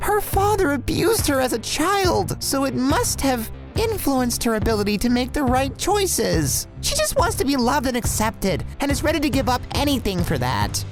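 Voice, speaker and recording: A female-sounding cartoonish character voice speaks at a moderate pace over clear background music. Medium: puppet. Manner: polite, enthusiastic.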